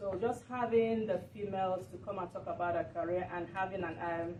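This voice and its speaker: With audible room echo, a woman speaks at medium pitch and a moderate pace with fairly even intonation. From Nigeria. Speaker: community TV talk show host. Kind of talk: speech at a meeting. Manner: halting.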